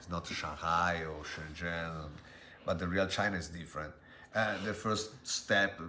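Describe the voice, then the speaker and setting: In a room with audible echo, a man with an Italian accent speaks in a bright, sharp tone at a very deep, low pitch, his intonation fairly even. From Italy. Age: 40s. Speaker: interviewee, language tutor. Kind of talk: interview. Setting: street interview. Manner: halting.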